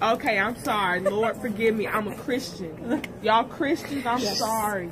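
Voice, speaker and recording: A loud woman's voice at a moderate pace with ordinary pitch variation, over noticeable background noise. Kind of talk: rambling casual talk. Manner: loud, slurred post-anesthesia rambling. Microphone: phone near.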